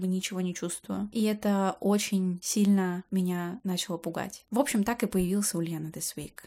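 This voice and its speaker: On a very clean recording with a silent background, a woman speaks in an unremarkable speaking voice of medium pitch. She moves at a fairly quick pace with fairly even intonation. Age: 20s. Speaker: podcaster, graduate student. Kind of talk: solo personal podcast monologue. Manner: casual, chatty.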